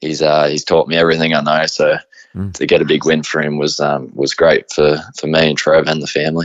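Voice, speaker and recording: This man speaks with an Australian accent at a very deep, low pitch. His delivery is fairly quick, with monotone, flat intonation. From Australia, Riverina (rural New South Wales). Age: 20s. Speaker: harness racing driver. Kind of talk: interview. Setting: remote interview. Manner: halting, many fillers.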